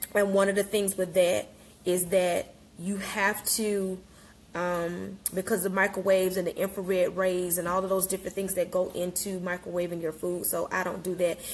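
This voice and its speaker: A woman talks at a moderate pace in a flat, monotone voice. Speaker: wellness coach. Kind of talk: casual live-stream talk. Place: kitchen. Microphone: phone near.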